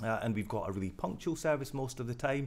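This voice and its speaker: Speaking with a Glaswegian accent, a man moves at a fairly quick pace with ordinary pitch variation. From Scotland, Glasgow. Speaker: rail company director. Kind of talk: interview.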